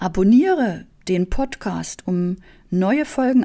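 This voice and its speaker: In a dark, mellow tone, a woman with a medium pitch speaks with lively intonation. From East Germany. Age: 40s. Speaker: business coach and podcast host. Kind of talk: motivational monologue.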